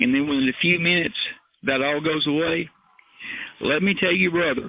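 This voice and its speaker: A man with an American accent uses a normal speaking voice, fairly high in pitch, with ordinary pitch variation. He talks at a fairly quick pace with very even loudness. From Appalachian foothills, US. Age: 60s. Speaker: retired criminal investigator and helicopter pilot. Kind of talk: interview.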